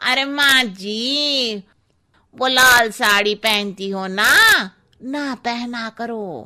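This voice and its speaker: A woman uses a cartoonish character voice at a fairly high pitch. She speaks very slowly with ordinary pitch variation. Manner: cheeky, blunt.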